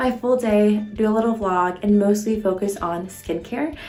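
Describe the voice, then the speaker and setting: A woman is whispering, with music playing in the background. Audible room echo surrounds her voice. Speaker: medical student vlogger. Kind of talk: casual vlog tutorial.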